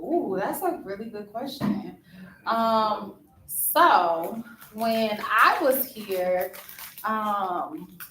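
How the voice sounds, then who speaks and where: Speech in an American accent comes at a very slow pace, with lively intonation and big swings in loudness. Room echo is audible. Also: woman, fairly high pitch for a woman. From Ohio, Dayton area. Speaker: alumna speaking to students. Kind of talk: casual chat. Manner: relaxed, many fillers.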